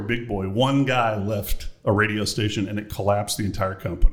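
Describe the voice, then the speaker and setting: A man with a fairly low pitch speaks in an ordinary speaking voice at a moderate pace. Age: 60s. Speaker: podcast host, former radio morning host. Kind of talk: casual chat. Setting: studio.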